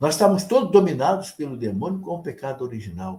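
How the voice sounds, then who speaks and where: A man speaks fast-ish with a dark, mellow tone, vocal fry and very wide pitch swings, keeping a fairly quick pace. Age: 70s. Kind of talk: sermon. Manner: conversational.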